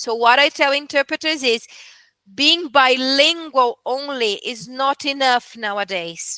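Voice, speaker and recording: A woman with a Portuguese accent uses a raised, projected voice, high in pitch with a bright, sharp tone and ordinary pitch variation. She speaks at a fairly slow pace, with a dry, close sound and no echo. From Brazil. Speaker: medical interpreter. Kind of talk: casual chat.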